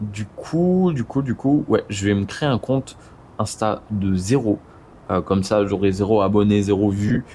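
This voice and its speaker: Dark, mellow tone in a somewhat breathy man's voice. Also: fairly low pitch for a man, ordinary pitch variation, fairly slow pace. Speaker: video creator, motion design business owner. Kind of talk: casual vlog talk to camera. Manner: hesitant, many fillers and repetitions.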